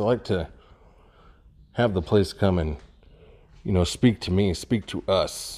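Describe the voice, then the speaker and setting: A man talks at a moderate pace. His pitch is fairly low and his tone dark and mellow. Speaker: urban explorer vlogger. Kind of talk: casual vlog chat. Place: empty room. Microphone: phone near.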